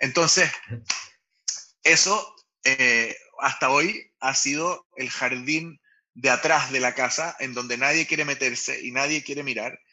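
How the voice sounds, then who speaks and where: With long, frequent pauses, a man talks at a fairly slow pace, his fairly high pitch showing ordinary variation. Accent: Chilean. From Chile. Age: 40s. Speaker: startup founder and CEO. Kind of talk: casual interview. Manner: halting, many repetitions and fillers.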